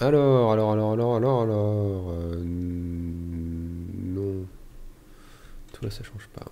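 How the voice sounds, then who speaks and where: A man's fairly low voice at a very slow pace, with ordinary pitch variation and big swings in loudness, over music in the background and audible room echo. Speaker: gaming youtuber. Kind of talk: let's play commentary. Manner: halting.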